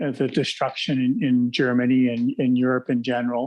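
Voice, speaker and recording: A man talks with a Canadian accent at a moderate pace. The background is quiet. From Canada, Toronto. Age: 60s. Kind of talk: podcast interview. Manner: hesitant, many fillers.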